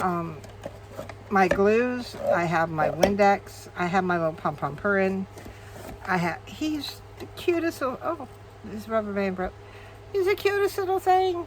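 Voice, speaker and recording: A woman speaks at a fairly slow pace, with long, frequent pauses. Noticeable noise sits in the background. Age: 60s. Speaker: crafting video creator. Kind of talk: casual tutorial. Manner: chatty, with frequent fillers.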